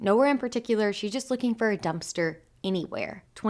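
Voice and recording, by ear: Text is read aloud in a natural voice.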